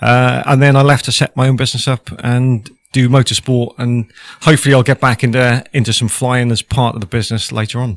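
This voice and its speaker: Speaking in a Welsh accent, a man keeps a monotone, flat intonation, the sound dry and close with no echo. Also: medium pitch for a man, fairly quick pace. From Wales (Cardiff, the valleys). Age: 40s. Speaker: former military helicopter pilot, business owner. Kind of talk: podcast interview. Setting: hot studio.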